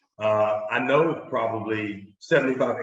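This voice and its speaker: A man with a North Carolina accent and ordinary pitch variation, with audible room echo. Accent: North Carolina Southern. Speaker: marketing executive. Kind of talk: business webinar. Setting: live webinar.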